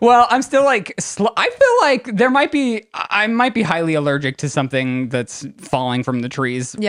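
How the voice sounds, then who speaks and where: Colorado-accented speech with hardly any pauses and noticeable background noise. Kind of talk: casual, drops some syllables. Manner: slow, sluggish.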